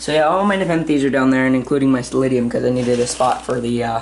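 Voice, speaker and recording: Amid noticeable background noise, the speech moves at a very fast pace. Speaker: plant hobbyist YouTuber. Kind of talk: casual vlog commentary.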